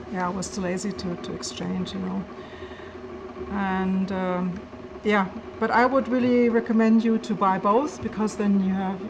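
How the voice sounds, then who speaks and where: A woman with a German accent at medium pitch and moderate pace, ordinary pitch variation, long and frequent pauses, audible room echo and noticeable background noise. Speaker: maker and tech youtuber. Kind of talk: casual Q&A, reading and answering comments. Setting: at home at laptop. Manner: halting, many fillers and repeats.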